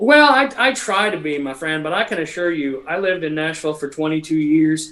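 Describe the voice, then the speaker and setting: Sounding bright and sharp, a man speaks at a moderate pace with a fairly high pitch and lively intonation. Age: 40s. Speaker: guitarist. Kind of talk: casual chat. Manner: animated.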